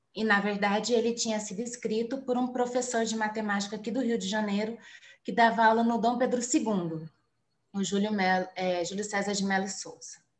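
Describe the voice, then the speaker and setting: Somewhat breathy, a woman speaks at a fairly high pitch and a fairly quick pace with audible room echo. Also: fairly even intonation. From São Paulo, Brazil. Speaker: journalist and doctoral student giving a guest lecture. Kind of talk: online lecture.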